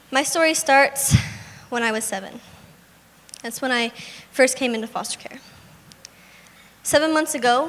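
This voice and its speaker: Noticeable background noise accompanies a soft-spoken woman with a high pitch and ordinary pitch variation. Her loudness swings widely, and she speaks at a moderate pace with long, frequent pauses. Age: young. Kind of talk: inspirational speech. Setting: live event stage.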